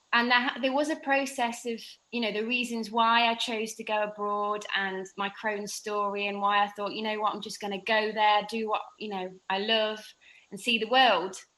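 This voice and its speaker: Bright and sharp in tone, a woman's fairly high-pitched voice moves at a moderate pace with fairly even intonation. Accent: English. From England. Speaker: fitness instructor with Crohn's disease. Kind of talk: podcast interview.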